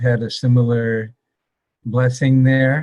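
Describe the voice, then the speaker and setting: Speaking in a medium pitch, a man has a dark, mellow, somewhat breathy tone and a monotone, flat intonation. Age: 60s. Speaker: podcast host and doctor. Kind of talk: interview.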